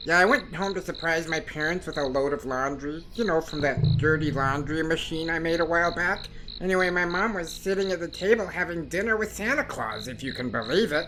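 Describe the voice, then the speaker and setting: A female-sounding voice uses a put-on character voice at a middle pitch and a fairly quick pace. Clear background noise can be heard. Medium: audio drama. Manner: excitable, rambling.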